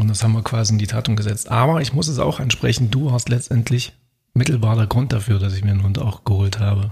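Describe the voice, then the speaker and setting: Speaking at a very fast pace, a man sounds somewhat breathy and uses ordinary pitch variation. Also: medium pitch for a man. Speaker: podcast co-host. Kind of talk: casual chat. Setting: at his own desk.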